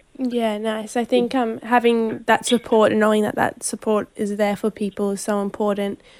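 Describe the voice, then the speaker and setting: A woman's fairly high-pitched voice with an Australian accent, monotone, flat intonation, a moderate pace and hardly any pauses. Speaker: radio host. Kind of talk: interview. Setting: outdoor event.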